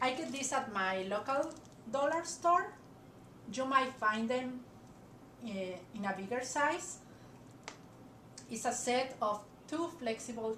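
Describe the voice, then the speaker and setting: A woman speaks with lively intonation and big swings in loudness, pausing long and often amid audible room echo. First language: not English. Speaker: crafter. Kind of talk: tutorial. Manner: hesitant, frequent fillers.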